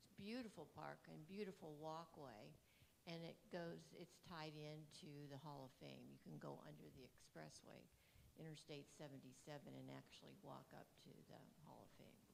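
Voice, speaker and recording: Audible room echo around a woman talking at a moderate pace. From Ohio, Canton. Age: 70s. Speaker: audience member. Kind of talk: audience comment at lecture.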